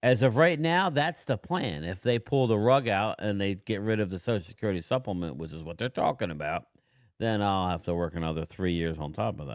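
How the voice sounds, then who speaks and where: This man has a normal speaking voice with a fairly low pitch and lively intonation. The recording is very clean, the background silent. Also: fairly quick pace. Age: 50s. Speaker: livestream host and postal manager. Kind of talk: casual chat. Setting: livestream video chat.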